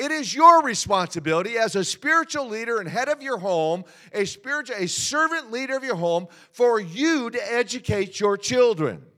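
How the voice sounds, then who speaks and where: Raising and projecting his voice, a man speaks in an animated tone at an extremely high pitch with very wide pitch swings. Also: moderate pace. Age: 60s. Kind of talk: sermon. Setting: church.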